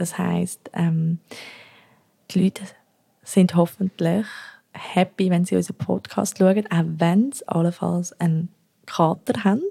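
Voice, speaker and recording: A woman with a somewhat breathy, dark, mellow tone and fairly low pitch speaks at a very slow pace, her intonation fairly even and her loudness swinging widely between long, frequent pauses. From Zürich, Switzerland. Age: 20s. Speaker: podcast co-host. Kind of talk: casual chat. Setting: home kitchen.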